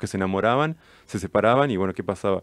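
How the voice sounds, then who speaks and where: A man with a fairly low pitch and a Rioplatense accent at a very fast pace, with a dry sound, no echo and a quiet background. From Argentina, Mar del Plata; Argentina. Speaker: film director; guest. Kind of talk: interview. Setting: radio studio. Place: studio. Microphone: studio mic.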